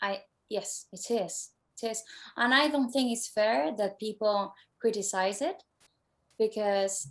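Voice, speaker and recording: Speaking at a fairly slow pace with ordinary pitch variation, this voice leaves long, frequent pauses against a quiet background. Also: woman, fairly high pitch for a woman. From Spain. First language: Spanish. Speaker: singer-songwriter. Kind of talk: interview.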